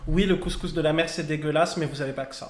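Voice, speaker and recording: With music in the background, a man talks at a very fast pace. His voice is high, with monotone, flat intonation. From Morocco. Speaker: drag queen. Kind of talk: casual chat. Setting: live event with audience.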